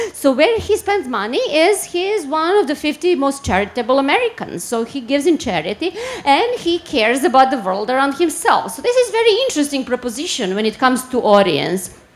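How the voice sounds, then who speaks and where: This woman has a high pitch and very wide pitch swings, talking at a fairly quick pace with hardly any pauses. Noticeable background noise runs behind her. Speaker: marketing strategy director. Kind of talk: conference talk. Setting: stage with audience. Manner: fast.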